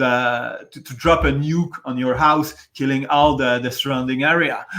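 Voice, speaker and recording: A man with a Quebec accent and a bright, sharp tone at a fairly high pitch, on a very clean recording with a silent background. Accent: French Canadian accent in English. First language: French. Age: 40s. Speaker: aircraft maintenance worker, debate guest. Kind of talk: casual debate discussion. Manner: halting, many false starts and repetitions.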